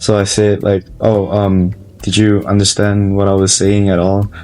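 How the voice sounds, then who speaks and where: With a Malaysian accent, a man speaks at a fairly low pitch. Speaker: college student. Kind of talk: interview. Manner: halting.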